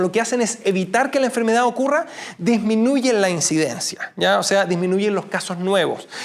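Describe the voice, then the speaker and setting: Noticeable background noise beneath a moderately paced voice with lively intonation. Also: man. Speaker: medical lecturer. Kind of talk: lecture. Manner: halting.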